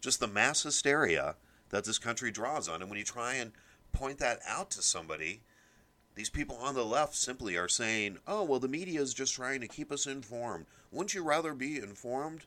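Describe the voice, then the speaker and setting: On a very clean recording with a silent background, a man with an American accent speaks at a moderate pace and medium pitch, his bright, sharp voice showing vocal fry and very wide pitch swings. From US Midwest. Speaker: political podcast host. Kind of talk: solo political commentary.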